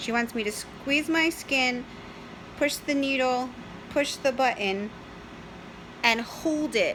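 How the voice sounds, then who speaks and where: A woman's high-pitched voice with an American accent, very slow pace, ordinary pitch variation and long, frequent pauses over noticeable background noise. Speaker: diabetic vlogger. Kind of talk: casual talk to camera.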